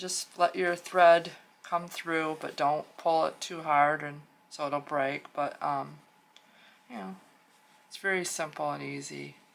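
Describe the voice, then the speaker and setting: Pitched very deep and low, a woman talks at a fairly slow pace with long, frequent pauses, big swings in loudness and ordinary pitch variation. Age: 60s. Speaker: crafts YouTuber. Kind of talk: tutorial. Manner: casual, hesitant with fillers.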